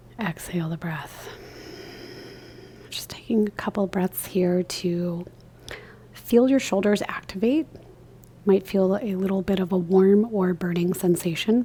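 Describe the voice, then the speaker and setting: Soft-spoken, a woman with a medium pitch talks at a fairly slow pace, with ordinary pitch variation and long, frequent pauses. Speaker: yoga instructor. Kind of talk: guided yoga class. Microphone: new microphone, picks up soft speech.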